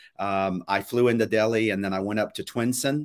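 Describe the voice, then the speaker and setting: The speaker is a man with an American accent and a normal speaking voice. His pitch is medium and his pace moderate. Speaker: pastor and podcast host. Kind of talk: live weekly show with devotional teaching.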